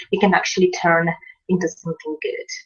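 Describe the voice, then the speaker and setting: A woman with a Polish accent, medium pitch, at a moderate pace. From Poland. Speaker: online marketing coach. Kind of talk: video tutorial. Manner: halting, many fillers.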